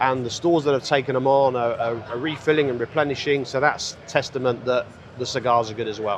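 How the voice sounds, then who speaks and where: Over noticeable background noise, a man of medium pitch speaks at a fairly quick pace with fairly even intonation. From UK. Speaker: cigar brand founder. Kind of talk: interview. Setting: trade show floor.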